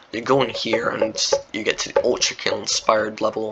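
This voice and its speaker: Noticeable background noise accompanies speech delivered rather quickly. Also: man. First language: not English. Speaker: Roblox game developer and YouTuber. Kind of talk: casual gameplay walkthrough chat. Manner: rambling, filler-heavy casual talk.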